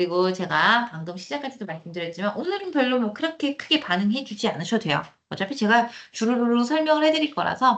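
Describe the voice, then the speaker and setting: Talking at a very fast pace, a woman sounds animated. Her fairly high voice swings very widely in pitch. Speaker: cloud computing instructor. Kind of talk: lecture. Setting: online live class with screen share.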